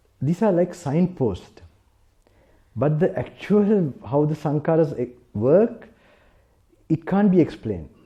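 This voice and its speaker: With a dark, mellow tone, the voice moves at a fairly slow pace using lively intonation. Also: man. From South Africa. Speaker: Buddhist monk. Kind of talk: sermon. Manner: halting.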